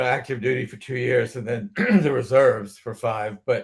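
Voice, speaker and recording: A somewhat breathy man's voice of medium pitch, moderate pace and lively intonation. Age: 80s+. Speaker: retired army veteran, community theater director. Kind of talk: casual panel discussion.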